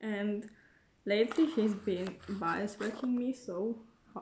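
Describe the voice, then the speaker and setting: Very slowly, a woman with a non-native accent speaks at a fairly high pitch with ordinary pitch variation. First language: not English. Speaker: YouTuber, K-pop fan. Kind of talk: casual unboxing vlog. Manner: casual, with fillers and restarts.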